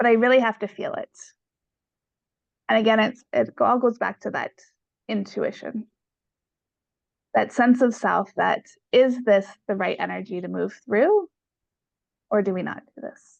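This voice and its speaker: A woman talks at a moderate pace with long, frequent pauses and big swings in loudness, in a dry, close sound with no echo. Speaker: pain specialist and coach. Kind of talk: interview. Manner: loud and boisterous at times.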